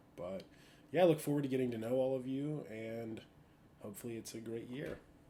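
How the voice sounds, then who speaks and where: Heard with audible room echo, a man speaks in a dark, mellow tone. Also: long, frequent pauses, big swings in loudness. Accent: American. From western Pennsylvania (Latrobe, near Pittsburgh). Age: 20s. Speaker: law student. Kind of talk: self-introduction monologue. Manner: casual, with frequent filler words.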